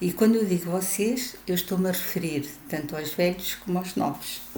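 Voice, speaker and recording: A woman with a European Portuguese accent speaks at a fairly slow pace with a fairly low pitch and lively intonation. Noticeable background noise and audible room echo surround her voice. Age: 70s. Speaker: retiree vlogger. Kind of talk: video monologue.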